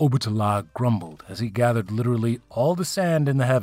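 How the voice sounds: Speech in a natural reading voice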